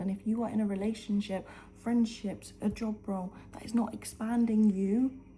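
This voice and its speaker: A woman's fairly high voice at a moderate pace, with noticeable background noise. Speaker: lifestyle vlogger. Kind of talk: motivational talk to camera. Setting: at home, early morning. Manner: whispering; animated.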